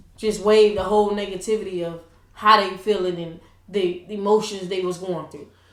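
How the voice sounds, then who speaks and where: A woman with a medium-pitched voice talks at a fairly quick pace in a monotone, flat delivery, her loudness swinging widely. Room echo is audible and background noise is noticeable. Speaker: school coach and podcast co-host. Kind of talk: casual chat.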